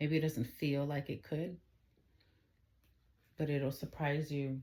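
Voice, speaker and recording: A soft-spoken voice at a moderate pace, captured in a very clean recording with a silent background. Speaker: tarot reader. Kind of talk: tarot reading.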